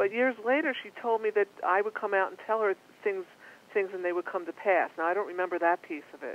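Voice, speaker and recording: A woman with a Philadelphia accent talks fairly quickly at a medium pitch, with ordinary pitch variation and big swings in loudness. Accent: East Coast (Philadelphia). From Philadelphia, US East Coast. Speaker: psychic medium. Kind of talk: interview.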